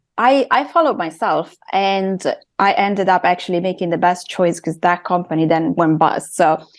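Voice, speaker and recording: A woman with an Italian accent against a quiet background. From Italy. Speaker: intuitive and creative coach. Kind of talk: podcast interview.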